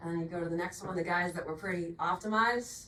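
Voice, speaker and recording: A woman with a Boston accent speaks at a fairly low pitch. Noticeable background noise and audible room echo fill the recording. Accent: Boston accent, non-rhotic. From Boston, Massachusetts. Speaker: agronomy product representative. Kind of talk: technical sales presentation.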